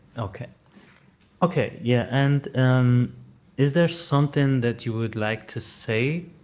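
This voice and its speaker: Speaking very slowly with a German accent, a man keeps a medium pitch and ordinary pitch variation. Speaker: interviewer. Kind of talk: interview. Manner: halting.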